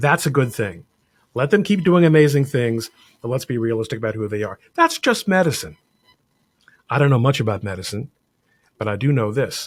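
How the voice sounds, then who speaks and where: A man with a medium pitch talks at a fairly quick pace with lively intonation and a somewhat breathy sound. His speech has long, frequent pauses. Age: 60s. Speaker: lawyer and fill-in radio host. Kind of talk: radio monologue. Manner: conversational, with self-corrections.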